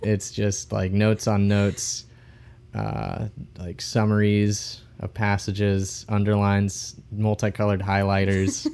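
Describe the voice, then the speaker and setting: Here is a man with an unremarkable speaking voice and fairly low pitch. His intonation is fairly even and his pace fairly slow. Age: 20s. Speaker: podcast host. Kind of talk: casual chat.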